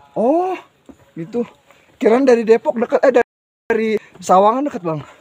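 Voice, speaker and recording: A man speaks at a fairly quick pace in an extremely high voice, with a dry, close sound and no echo. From Jakarta outskirts / Tangerang. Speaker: travel vlogger, solo hiker. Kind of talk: casual vlog chat while hiking. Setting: outdoors on mountain trail. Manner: animated.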